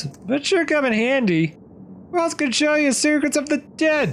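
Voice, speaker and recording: A man puts on a character voice at an extremely high pitch, with clear background noise behind him. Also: moderate pace. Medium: read story. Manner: gruff, goofy.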